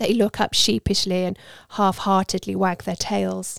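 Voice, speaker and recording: A woman speaks at a very slow pace in a warm, dramatic tone, the sound dry and close with no echo on a very clean recording with a silent background. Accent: British. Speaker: audiobook narrator. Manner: measured, storytelling pace, warm and intimate, with light dramatic emphasis on dialogue.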